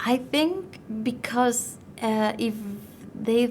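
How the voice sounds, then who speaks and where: With a non-native accent, a woman speaks at a very slow pace with ordinary pitch variation. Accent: noticeable non-native accent, syllable-timed. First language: not English. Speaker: IELTS test taker. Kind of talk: speaking exam interview answer. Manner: fairly fluent with some hesitation.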